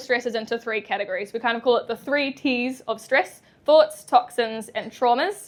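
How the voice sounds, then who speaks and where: A woman's high-pitched voice in a New Zealand accent, with ordinary pitch variation. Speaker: chiropractor. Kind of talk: public talk. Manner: hesitant, many fillers.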